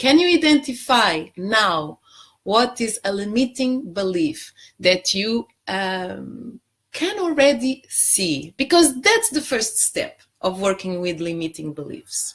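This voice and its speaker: In a Portuguese accent, the voice takes a very slow pace with very wide pitch swings. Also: woman, fairly high pitch for a woman. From Portugal. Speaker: life coach. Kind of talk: live stream talk. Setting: Facebook live stream.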